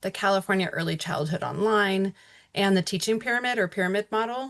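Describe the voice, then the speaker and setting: A woman speaks in a plain, everyday voice at medium pitch, with ordinary pitch variation and a fairly quick pace. The sound is dry and close with no echo, over a quiet background. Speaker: webinar presenter on early childhood. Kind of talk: webinar presentation. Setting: online webinar.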